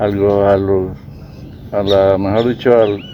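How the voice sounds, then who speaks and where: His intonation is monotone and flat. The man speaks at a fairly slow pace. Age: 70s. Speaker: rural farmer. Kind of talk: interview answer.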